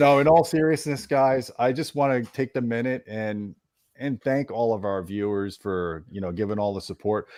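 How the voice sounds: A man of medium pitch, slightly mellow in tone, at a moderate pace with ordinary pitch variation.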